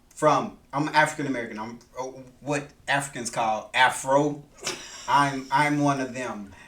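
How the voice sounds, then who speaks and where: In a room with audible echo, a man speaks fairly slowly with a bright, sharp tone, a fairly high pitch and ordinary pitch variation. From US South, Macon, Georgia. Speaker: podcast host's husband. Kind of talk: casual chat.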